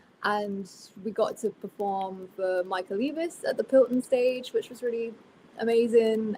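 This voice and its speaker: With a Somerset accent, a woman talks in a fairly high pitch and a dark, mellow tone, her loudness swinging widely. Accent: Somerset accent with a twang. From Somerset, south-west England (Bristol). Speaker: country singer. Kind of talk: casual interview chat.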